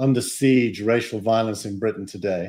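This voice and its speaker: A man at a medium pitch speaks with a Yorkshire accent. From Yorkshire, England. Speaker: startup advisor and investor. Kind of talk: casual interview.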